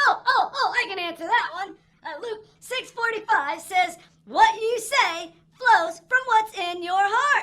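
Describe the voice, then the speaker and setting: A cartoonish character voice at an extremely high pitch moves at a fairly slow pace. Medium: puppet. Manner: eager.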